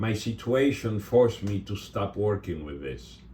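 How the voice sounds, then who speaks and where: A man's voice sits fairly low, with a dark, mellow tone and a somewhat breathy quality. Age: 60s. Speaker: resin artist, channel owner. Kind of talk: casual video talk to viewers. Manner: halting.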